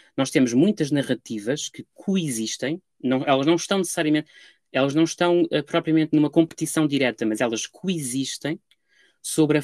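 Moderate pace, a European Portuguese accent, ordinary pitch variation, and a dry, close sound with no echo. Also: man. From Portugal. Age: 20s. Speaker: Egyptologist, doctoral researcher. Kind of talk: academic interview. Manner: hesitant, many fillers.

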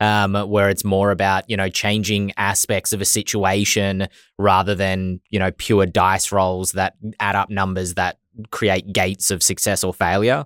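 In a very clean recording with a silent background and a dry, close sound with no echo, a man with an Australian accent speaks at a fairly slow pace in a fairly low pitch with monotone, flat intonation. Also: very even loudness. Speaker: podcast host. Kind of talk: casual chat.

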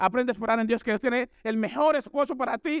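Recorded very cleanly against a silent background, a man with an extremely high pitch and ordinary pitch variation sounds dry and close with no echo. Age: 40s. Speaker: missionary preacher. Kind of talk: sermon.

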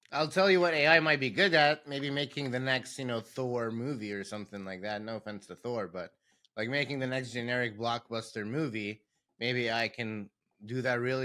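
Over a very clean recording with a silent background, a man speaks at a fairly quick pace in a bright, sharp tone with ordinary pitch variation. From Lebanon. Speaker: podcast co-host, martial arts school owner. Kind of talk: casual chat. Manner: laughs often, upbeat.

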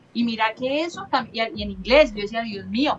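Noticeable background noise behind a high female voice, a woman's, with ordinary pitch variation. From Colombia, Cali. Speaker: motorcyclist and riding instructor. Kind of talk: casual chat.

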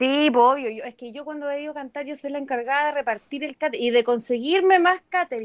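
A woman's high-pitched voice in a Chilean accent, with hardly any pauses and big swings in loudness, dry and close with no echo. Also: ordinary pitch variation, fairly quick pace. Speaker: singer. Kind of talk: casual chat.

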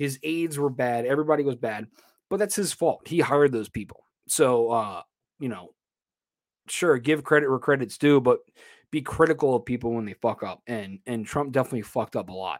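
A man speaks at a fairly quick pace and a medium pitch with lively intonation. The recording is very clean, with a silent background. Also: dry, close sound with no echo. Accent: American. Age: 30s. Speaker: podcast host. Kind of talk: casual solo commentary. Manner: halting.

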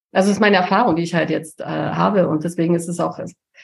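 The speaker is a woman. Her voice carries vocal fry. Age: 50s. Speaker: communication and charisma coach. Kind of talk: casual chat.

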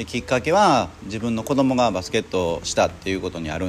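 Lively intonation runs through this man's speech. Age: 40s. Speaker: car detailing shop owner, podcaster. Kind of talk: casual monologue. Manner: halting, many fillers.

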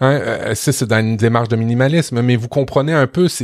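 In a Quebec accent, a man speaks at a medium pitch with ordinary pitch variation, the sound dry and close with no echo. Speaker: podcast co-host, web professional. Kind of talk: casual chat.

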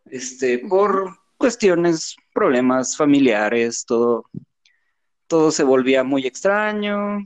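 Speaking very slowly at a fairly high pitch, a man swings his pitch very widely while keeping his loudness very even. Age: 30s. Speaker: podcast guest, designer. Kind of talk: casual chat. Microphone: cutting out, too far from mic.

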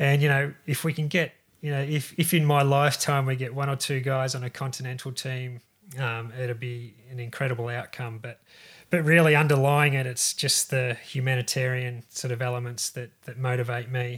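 The speaker has an Australian accent and a monotone, flat intonation. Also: man, medium pitch for a man, moderate pace, very clean recording, silent background. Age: 50s. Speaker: podcast host and cycling charity founder. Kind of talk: casual interview.

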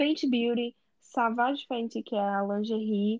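A woman's high-pitched voice at a fairly slow pace, with ordinary pitch variation, a dry, close sound with no echo and a quiet background. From Brazil. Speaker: podcast co-host. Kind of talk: casual chat.

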